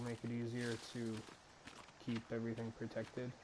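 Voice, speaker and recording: This man's medium-pitched voice moves fairly slowly while noticeable background noise continues. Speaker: gaming video creator. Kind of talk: let's play commentary. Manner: loud.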